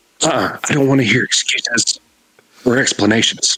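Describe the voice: A man does a put-on character voice, quiet and breathy, at a medium pitch. He keeps a moderate pace, and the sound is dry and close with no echo.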